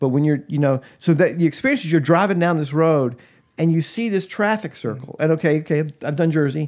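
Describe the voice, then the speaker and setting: In an ordinary speaking voice, a man with an American accent talks at a fairly quick pace with a fairly high pitch and ordinary pitch variation, on a very clean recording with a silent background. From US South, Atlanta, Georgia. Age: 60s. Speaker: pastor and podcast co-host. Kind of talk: casual chat.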